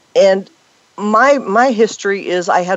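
A plain, everyday voice carries lively intonation. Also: woman. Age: 50s. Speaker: fitness and health expert. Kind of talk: interview.

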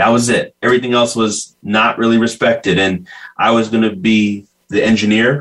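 A man with a normal speaking voice, medium in pitch, at a fairly quick pace. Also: very even loudness. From US (California), raised in Ghanaian family. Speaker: social media entrepreneur. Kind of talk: interview.

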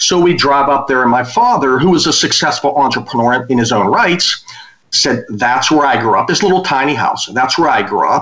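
A man with an American accent uses a normal speaking voice, fairly high in pitch, with lively intonation, very even loudness and a moderate pace. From western Pennsylvania. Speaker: business consultant and author. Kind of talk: interview.

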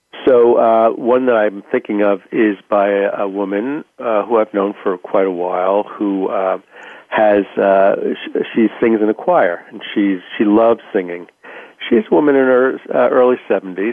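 A man's fairly low voice at a fairly slow pace with ordinary pitch variation. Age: 60s. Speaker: author and writing coach. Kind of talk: interview. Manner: halting, many fillers.

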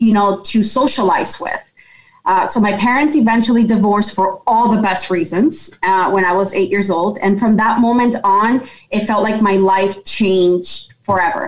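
A somewhat breathy woman speaks with an American accent at a fairly high pitch. Her loudness stays very even, with ordinary pitch variation. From Yonkers, New York. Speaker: company president. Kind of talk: interview, personal story.

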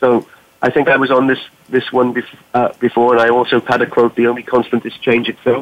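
A man with a Welsh accent talks at a fairly quick pace and medium pitch, his intonation flat and monotone. His loudness stays very even over noticeable background noise. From Wales. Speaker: business technology executive. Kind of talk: panel discussion. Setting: phone call.

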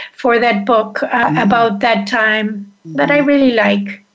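Pitch varies in an ordinary way, with noticeable background noise behind the voice. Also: woman. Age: 60s. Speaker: menopause coach and author. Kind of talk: casual interview.

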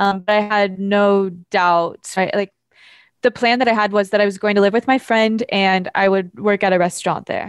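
A woman with an ordinary speaking voice and medium pitch talks at a moderate pace, with fairly even intonation and very even loudness. The sound is dry and close, with no echo. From US, Idaho (small farming town). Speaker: entrepreneur and nonprofit founder. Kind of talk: casual interview. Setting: on a yacht.

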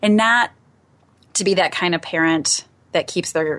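An ordinary speaking voice from a woman with an American accent, fairly low in pitch, at a moderate pace against a quiet background. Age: 40s. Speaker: radio host. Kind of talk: casual interview conversation.

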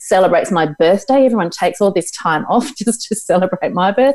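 In an Australian accent, a woman with a dark, mellow tone and medium pitch talks at a fairly quick pace with lively intonation. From Tasmania, Australia. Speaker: psychologist and mentor. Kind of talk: casual interview chat.

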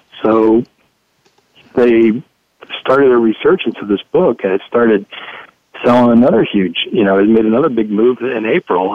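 This man has a normal speaking voice with an American accent, a medium pitch, and a fairly quick pace. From Ohio, US Midwest. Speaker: economist and author. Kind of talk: radio interview. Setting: studio.

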